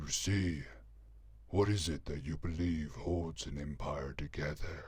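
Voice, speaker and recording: Very deep, low-pitched male character voice, put on and fairly slow. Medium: read story. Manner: cold, menacing, mocking.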